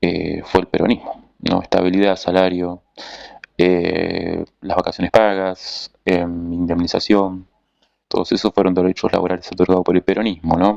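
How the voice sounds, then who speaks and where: A man's very deep, low voice in a monotone, flat delivery, dry and close with no echo. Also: fairly slow pace. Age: 30s. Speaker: political commentator. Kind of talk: monologue analysis. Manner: hesitant with fillers and self-corrections.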